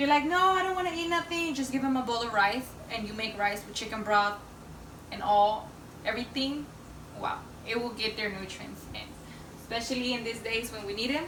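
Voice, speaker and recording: A woman with a non-native accent and a fairly high voice, at a fairly quick pace broken by long, frequent pauses, amid noticeable background noise and audible room echo. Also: lively intonation. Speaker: home cook. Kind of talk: cooking tutorial. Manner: hesitant, many fillers.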